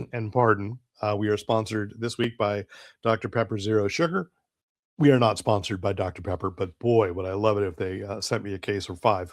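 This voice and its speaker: A man with a fairly low pitch and ordinary pitch variation talks at a fairly quick pace in a very clean recording with a silent background. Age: 60s. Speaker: comics reviewer. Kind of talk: casual review monologue. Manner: hesitant, many fillers.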